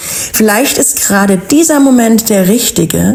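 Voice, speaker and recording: A calm woman at a very slow pace, her pitch swinging very widely, with noticeable background noise. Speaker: wellness podcast host. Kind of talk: inspirational podcast monologue.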